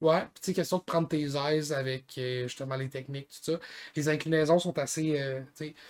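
The recording is very clean, with a silent background. A man talks in a normal speaking voice at a moderate pace, his pitch fairly high and his intonation fairly even. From Gaspésie, Quebec. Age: 20s. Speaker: podcast co-host, skier. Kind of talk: casual chat.

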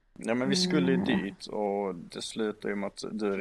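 A man talks at a fairly quick pace with a fairly low pitch. It is a plain, everyday voice. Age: 20s. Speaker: podcast guest. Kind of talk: casual chat.

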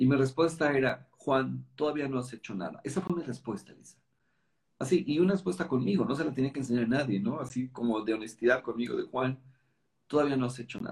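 Somewhat breathy, animated speech from a man at medium pitch, fairly quick in pace, with big swings in loudness. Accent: Mexican. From Mexico City. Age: 50s. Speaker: network marketing leader and author. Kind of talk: interview conversation.

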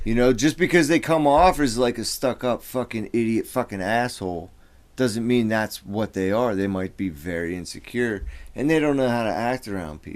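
Recorded very cleanly against a silent background, a man with a normal speaking voice and medium pitch talks at a moderate pace with lively intonation. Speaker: podcast co-host. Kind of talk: casual banter, heated talk. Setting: studio. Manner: profane, emotional.

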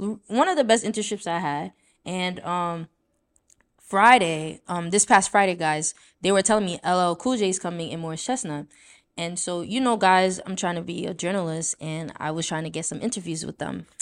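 A woman with an American accent speaks in a normal speaking voice at a fairly low pitch and moderate pace, with ordinary pitch variation. Her loudness swings widely, and the recording is very clean with a silent background. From Brooklyn, New York (Haitian household). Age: 20s. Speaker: podcast host. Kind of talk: casual chat.

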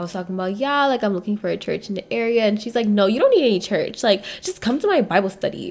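A woman at a very fast pace with hardly any pauses and ordinary pitch variation. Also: fairly high pitch for a woman. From Nigeria. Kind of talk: casual chat.

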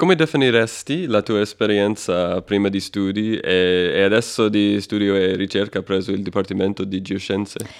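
A man with a non-native accent speaks at a moderate pace, with hardly any pauses. His pitch is fairly low, with ordinary variation. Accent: foreign accent in Italian. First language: not Italian (speaking Italian). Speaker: podcast co-host. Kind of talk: interview. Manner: hesitant, many fillers.

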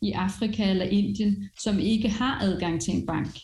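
Noticeable background noise and audible room echo surround a woman speaking at a medium pitch and a moderate pace. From France. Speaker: education executive and entrepreneur. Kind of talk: interview.

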